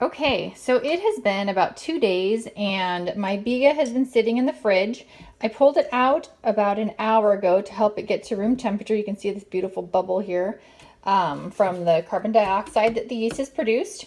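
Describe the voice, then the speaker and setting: This woman has a fairly high pitch, ordinary pitch variation, and a moderate pace. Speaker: home cooking video host. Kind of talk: cooking tutorial. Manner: quieter, hushed; hesitant, many fillers.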